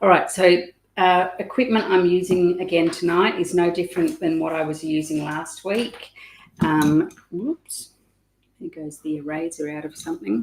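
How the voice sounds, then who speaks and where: Here a woman speaks with an Australian accent at a fairly low pitch and a moderate pace. Her pitch varies in an ordinary way while her loudness swings widely. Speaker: art teacher. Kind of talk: tutorial. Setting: live stream on webcam. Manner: hesitant, many ums.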